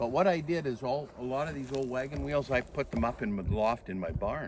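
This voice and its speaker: In a Canadian prairie accent, a man talks at a fairly quick pace with a medium pitch and lively intonation. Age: 70s. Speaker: farmer. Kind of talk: casual chat. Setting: outdoors.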